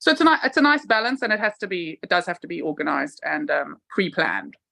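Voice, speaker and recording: Loud and at a very fast pace, a woman's fairly high voice makes very wide pitch swings, its bright, sharp tone edged with vocal fry. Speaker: pub landlady.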